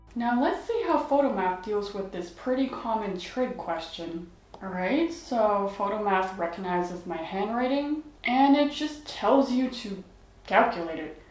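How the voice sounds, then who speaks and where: Audible room echo follows a woman speaking at a fairly slow pace. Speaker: math tutor reviewing apps. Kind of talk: tutorial review commentary. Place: home room.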